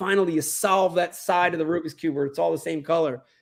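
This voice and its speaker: Talking at a fairly quick pace, a man with an American accent has a high pitch and fairly even intonation. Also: very clean recording, silent background. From South Philadelphia and South Jersey suburbs. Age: 50s. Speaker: professional bass angler and TV personality. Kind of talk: interview. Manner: repetitive, filler-heavy.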